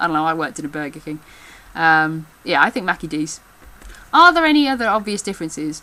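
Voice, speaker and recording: This woman has a fairly low pitch and speaks with an English Midlands accent. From England. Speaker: backstage theatre worker. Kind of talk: casual talk to camera.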